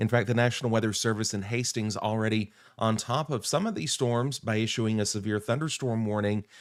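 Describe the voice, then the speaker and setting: Someone speaks with an American accent at a moderate pace and fairly even intonation. The recording is very clean, with a silent background. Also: man. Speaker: meteorologist. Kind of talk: live weather coverage. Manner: hesitant, many fillers.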